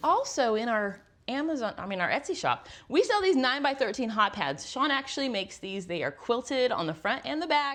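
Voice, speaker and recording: Her high voice swings very widely in pitch as the woman speaks. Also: fairly quick pace. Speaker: homesteading YouTuber. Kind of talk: product recommendations in kitchen. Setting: home kitchen. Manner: fast; animated. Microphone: new handheld microphone.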